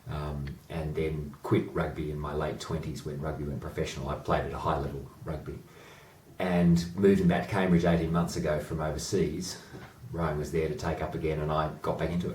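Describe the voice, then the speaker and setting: A fairly quick-talking man with an Australian accent, very deep and low in pitch, with fairly even intonation and audible room echo. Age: 40s. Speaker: amateur rower and boat club chairman. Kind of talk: interview.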